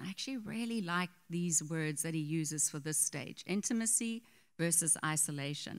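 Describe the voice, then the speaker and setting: In a very clean recording with a silent background, a woman uses a normal speaking voice with lively intonation at a fairly slow pace. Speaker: pastor's wife, co-teacher. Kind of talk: sermon. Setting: church.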